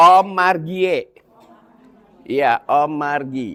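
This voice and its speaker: Speech unfolds very slowly. Its intonation stays lively throughout. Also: man. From Indonesia, Javanese family raised in Bandung (West Java). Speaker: Islamic preacher. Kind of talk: religious study talk to women's group. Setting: mosque. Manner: casual, conversational.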